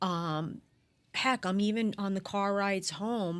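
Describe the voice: Recorded very cleanly over a silent background, a woman speaks slowly in a clear, smooth, fairly bright tone. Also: medium pitch for a woman, ordinary pitch variation.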